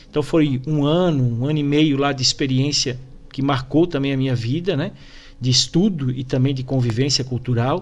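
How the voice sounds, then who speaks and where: Speaking with a Santa Catarina accent, a man with a fairly high pitch keeps a moderate pace and fairly even intonation. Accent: Brusque (Santa Catarina). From Brusque, Santa Catarina, southern Brazil. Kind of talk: TV interview.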